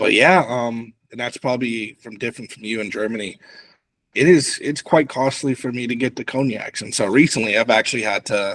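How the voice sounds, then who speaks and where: A man with an unremarkable speaking voice talks at a fairly quick pace and medium pitch, with ordinary pitch variation. His loudness swings a lot, and the sound is dry and close with no echo. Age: 20s. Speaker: cognac content creator. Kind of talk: casual chat.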